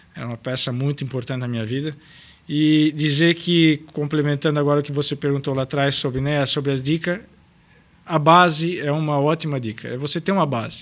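Fairly high for a man, this voice moves at a fairly quick pace with fairly even intonation. It is an unremarkable speaking voice. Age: 30s. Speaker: restaurant owner. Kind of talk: casual interview.

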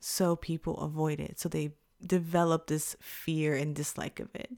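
A woman with an American accent speaks at a moderate pace. Her voice is very deep and low. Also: very clean recording, silent background. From Texas, Houston. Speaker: podcast host. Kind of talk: casual chat.

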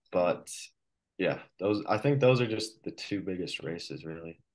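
Over a quiet background, an unremarkable speaking voice with an American accent moves at a moderate pace with ordinary pitch variation. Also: man. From Colorado, US. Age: 20s. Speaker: professional cyclist. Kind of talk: interview. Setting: video call.

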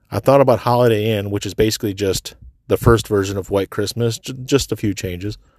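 This man has an ordinary speaking voice with a fairly low pitch and moves at a fairly quick pace. The recording is very clean with a silent background and a dry, close sound with no echo. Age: 40s. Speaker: solo podcaster. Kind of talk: casual monologue. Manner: casual, filler-heavy.

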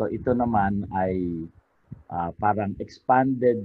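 This man has a fairly low pitch, ordinary pitch variation and a Filipino accent. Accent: Filipino (Tagalog). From Philippines, Cainta Rizal. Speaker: religious devotions author and researcher. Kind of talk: interview.

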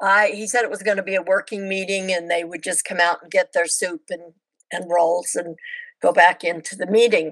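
A woman at a medium pitch talks at a fairly quick pace with fairly even intonation and big swings in loudness, in a normal speaking voice. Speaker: former missionary. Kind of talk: casual interview chat. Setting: video call.

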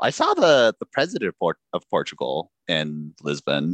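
Someone with an American accent speaks at a moderate pace, in a dry, close sound with no echo. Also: man. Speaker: guest, improv performer. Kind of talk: casual comedy podcast chat.

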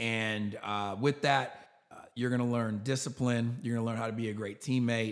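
A man with an American accent and an unremarkable speaking voice, medium in pitch, fairly even in intonation, fairly quick in pace, on a very clean recording with a silent background. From New York. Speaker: tech company founder and CEO. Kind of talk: interview.

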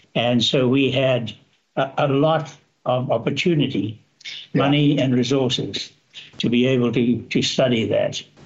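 A man speaks at a moderate pace with a somewhat breathy voice, very even loudness, and fairly even intonation. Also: medium pitch for a man. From Zambia (raised in Northern Rhodesia), born in South Africa. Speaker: mining engineering consultant. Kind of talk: interview.

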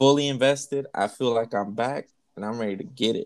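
The sound is close and dry, without any echo. Speech proceeds at a moderate pace. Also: man. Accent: American. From Texas. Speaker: podcast host. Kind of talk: casual chat. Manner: animated.

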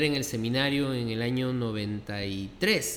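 In a room with audible echo, a man at medium pitch speaks at a very slow pace with lively intonation. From Peru, Lima. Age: 50s. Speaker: pastor. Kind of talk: interview conversation. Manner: halting, many fillers.

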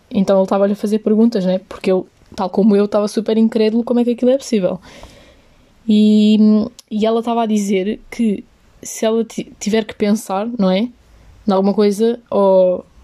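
In a European Portuguese accent, the speaker uses a dark, mellow tone and a monotone, flat intonation at a moderate pace with long, frequent pauses. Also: woman, fairly high pitch for a woman. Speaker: podcaster. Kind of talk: solo casual monologue. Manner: casual, code-switching into English.

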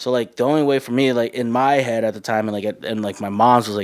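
The delivery moves at a very fast pace. Pitch varies in an ordinary way. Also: man. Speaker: bakery manager. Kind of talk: casual interview chat. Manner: casual, slangy, candid.

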